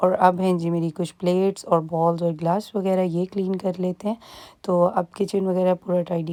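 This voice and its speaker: A woman's medium-pitched voice, dark and mellow in tone, at a fairly slow pace with hardly any pauses and monotone, flat intonation, in a very clean recording with a silent background and a dry, close sound with no echo. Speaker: family vlogger. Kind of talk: casual vlog narration. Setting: at home.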